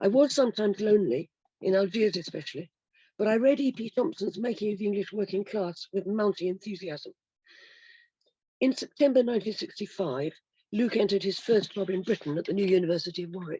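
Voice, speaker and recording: A woman with a dark, mellow tone talks fairly quickly at a medium pitch. Her pitch varies in an ordinary way, and the sound is dry and close with no echo. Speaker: historian. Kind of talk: prepared lecture. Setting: video call.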